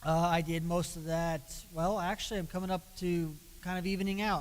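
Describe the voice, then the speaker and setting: Speaking at a moderate pace, a man uses a normal speaking voice at a fairly high pitch. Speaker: police officer. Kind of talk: presentation.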